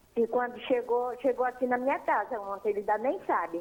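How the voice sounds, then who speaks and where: Fairly high in pitch, a woman talks at a fairly quick pace in an animated tone. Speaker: caller. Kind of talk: phone-in complaint. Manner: animated, indignant.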